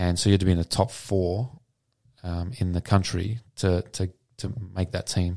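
In a very clean recording with a silent background and a dry, close sound with no echo, a man with an Australian accent speaks at a moderate pace with long, frequent pauses. His tone is dark and mellow, his pitch very deep and low, and his intonation fairly even. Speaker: former pro squash player and flow coach. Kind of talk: podcast interview. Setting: studio.

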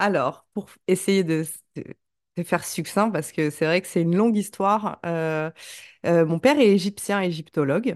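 Dry and close with no echo over a quiet background, a woman speaks at a fairly slow pace, her fairly low pitch showing ordinary variation. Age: 30s. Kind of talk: casual interview chat. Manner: hesitant, many fillers.

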